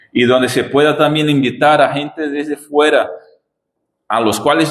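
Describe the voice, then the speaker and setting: A man speaks at a fairly slow pace with a non-native accent. His pitch is fairly high. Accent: foreign accent in Spanish. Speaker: visiting pastor. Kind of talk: sermon. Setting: church.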